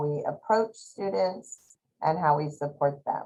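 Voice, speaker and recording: Her intonation is lively throughout. The woman speaks at a very slow pace. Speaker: school district administrator. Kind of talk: webinar presentation. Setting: video call webinar.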